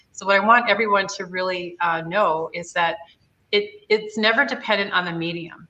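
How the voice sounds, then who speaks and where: Over music in the background, a woman speaks at a moderate pace with ordinary pitch variation and big swings in loudness. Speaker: live-stream host. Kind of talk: tutorial. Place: workshop. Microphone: webcam.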